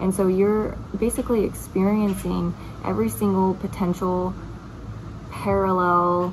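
Noticeable background noise sits behind a woman speaking. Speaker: spiritual topic vlogger. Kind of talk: casual explanatory vlog talk. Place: home room. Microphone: phone near.

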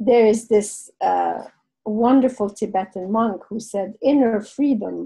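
Speaking at a fairly slow pace, a woman with a French accent has a dark, mellow, somewhat breathy tone and fairly even intonation. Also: fairly high pitch for a woman. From Lebanon. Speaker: guest speaker. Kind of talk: interview answer. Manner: reflective, conversational.

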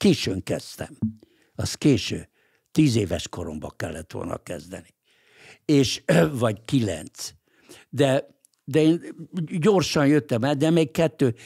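A man with a dark, mellow tone and vocal fry talks at a very slow pace with very wide pitch swings and long, frequent pauses against a quiet background. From Hungary, Budapest; Hungary. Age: 80s+. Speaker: lawyer and political writer; podcast guest. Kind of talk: interview. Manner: halting, with repeated words. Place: studio. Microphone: studio mic.

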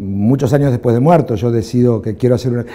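In an Argentine accent, a man speaks at a very fast pace. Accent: Rioplatense Argentine Spanish. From Argentina. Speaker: film director; interviewee. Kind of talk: interview. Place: studio. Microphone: lapel.

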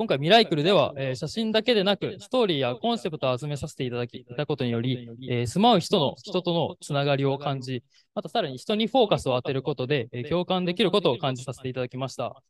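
Talking at a very fast pace with lively intonation, a man with a fairly high pitch sounds dry with no echo over light background noise. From Japan (Shizuoka). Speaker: event emcee, company employee. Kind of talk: formal event hosting. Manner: polite, many fillers. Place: hall. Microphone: handheld.

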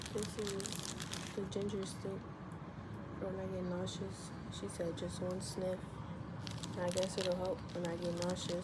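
A woman talks fairly slowly, pausing long and often, with loud noise behind her. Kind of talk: casual vlog chat. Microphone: phone near.

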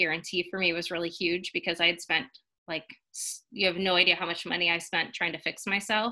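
A woman speaks at a fairly quick pace in a bright, sharp tone with fairly low pitch. The background is quiet. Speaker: guest. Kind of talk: personal testimonial talk. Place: home room. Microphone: webcam.

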